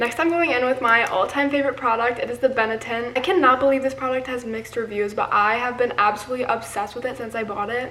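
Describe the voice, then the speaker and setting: A woman with a high pitch and ordinary pitch variation at a fairly quick pace, over noticeable background noise. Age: young. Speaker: beauty and lifestyle vlogger. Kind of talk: casual talk to camera. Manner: chatty, rambling.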